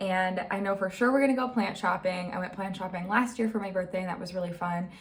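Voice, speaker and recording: A woman speaking at a very fast pace amid noticeable background noise and audible room echo. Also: medium pitch for a woman. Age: 20s. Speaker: vlogger. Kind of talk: casual vlog chat. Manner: animated.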